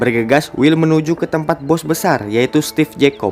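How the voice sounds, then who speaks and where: Over music in the background, a man talks at a moderate pace and a fairly high pitch with ordinary pitch variation. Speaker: film recap narrator. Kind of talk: movie recap narration. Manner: joking, casual.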